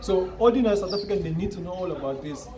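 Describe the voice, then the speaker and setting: Against noticeable background noise and audible room echo, a man talks at a high pitch and fairly quick pace with ordinary pitch variation. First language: not English. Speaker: podcast host. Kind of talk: opinion monologue. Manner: halting, repetitive; animated.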